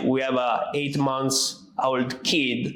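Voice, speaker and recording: A man with an Italian accent, audible room echo and noticeable background noise. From Italy. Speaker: podcast host, construction entrepreneur. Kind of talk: casual chat.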